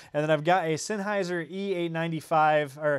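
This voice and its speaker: A man with an American accent speaks at a fairly quick pace. His pitch is high, and his intonation is fairly even. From Indiana. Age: 30s. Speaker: tech YouTuber. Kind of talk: livestream chat. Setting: home studio livestream. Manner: casual, many fillers.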